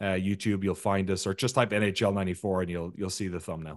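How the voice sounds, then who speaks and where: A man with an Irish accent talking at a very fast pace over a quiet background. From Ireland. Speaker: video game documentary maker. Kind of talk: interview.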